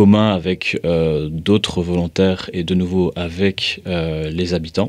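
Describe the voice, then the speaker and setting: The man speaks very slowly. His intonation holds fairly even. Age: 20s. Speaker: volunteer and association board member. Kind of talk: personal testimony. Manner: hesitant, many filler sounds.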